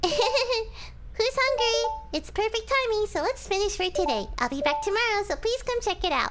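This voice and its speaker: Loud music plays behind a squeaky, put-on character voice at an extremely high pitch. The pace is moderate. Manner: bright, cheerful, performed.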